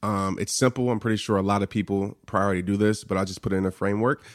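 With an American accent, a man talks at a fairly quick pace in an unremarkable speaking voice, captured on a very clean recording with a silent background. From New Orleans and Fort Worth, Texas. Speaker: motivational speaker, former football player. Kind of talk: interview.

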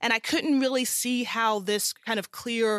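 A woman with an American accent speaks at a fairly slow pace, the sound dry and close with no echo on a very clean recording with a silent background. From US South, South Carolina. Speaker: entrepreneur and coach for working mothers. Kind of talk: interview conversation.

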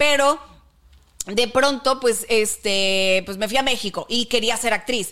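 A woman at a very slow pace, fairly high in pitch, with a bright, sharp tone. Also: ordinary pitch variation. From northern Mexico. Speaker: podcast co-host. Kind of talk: casual chat.

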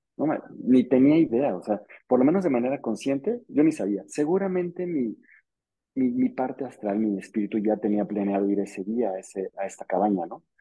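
At a moderate pace, a man talks with lively intonation and a medium pitch. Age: 40s. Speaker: contactee and company director. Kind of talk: interview testimony. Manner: halting, many repetitions.

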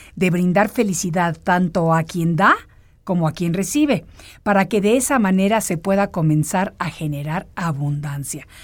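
A woman talks in an unremarkable speaking voice with lively intonation. Her pace is fairly slow, on a very clean recording with a silent background. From Mexico. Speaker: radio host. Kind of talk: motivational monologue.

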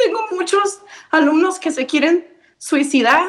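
A woman's lively intonation at a fairly slow pace. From Michoacán, Mexico; raised in Nevada. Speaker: high school biology teacher. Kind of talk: motivational message.

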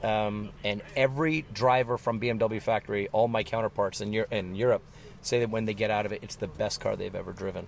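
Here is a man with an ordinary speaking voice at a medium pitch. He talks at a fairly quick pace with fairly even intonation. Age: 50s. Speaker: racing driver. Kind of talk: interview.

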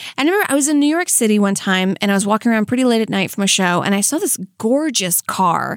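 A woman with a fairly high pitch speaks at a very fast pace, hardly pausing, with lively intonation. Her loudness stays very even, and the recording is very clean with a silent background. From Louisiana. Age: 30s. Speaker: comedian. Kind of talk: casual chat. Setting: studio.

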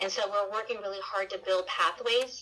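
Over noticeable background noise, a woman talks fairly quickly at medium pitch with fairly even intonation. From US, children of Mexican migrant farm workers. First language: Spanish. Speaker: nonprofit president, educator. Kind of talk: interview.

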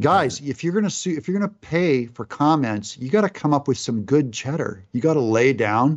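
Against a quiet background, a man with a normal speaking voice talks at a fairly quick pace and fairly high pitch, with lively intonation and hardly any pauses. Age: 50s. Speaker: video game creator. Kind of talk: casual chat.

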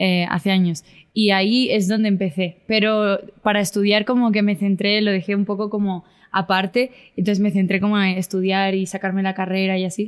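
At a fairly quick pace, a woman speaks at medium pitch with monotone, flat intonation and very even loudness. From Spain. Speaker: content creator and singer. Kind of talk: casual interview.

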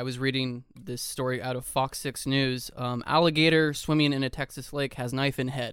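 A man with an American accent, a normal speaking voice, medium pitch, moderate pace and fairly even intonation. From Kansas. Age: 30s. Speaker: podcast co-host. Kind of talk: casual chat about news and politics.

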